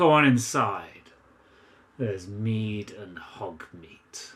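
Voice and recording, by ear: A man uses a put-on character voice, gruff and growling at a fairly low pitch. He speaks very slowly with lively intonation.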